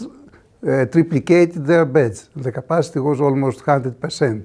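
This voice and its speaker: With a Greek accent, a man speaks in a dark, mellow tone with ordinary pitch variation. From Greece. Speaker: clinical microbiologist. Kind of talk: conference talk. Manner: halting, many fillers.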